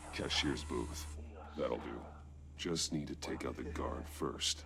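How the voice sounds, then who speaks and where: Over loud background noise, a man uses a put-on character voice. He speaks at a fairly slow pace. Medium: video game. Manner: terse, low and controlled.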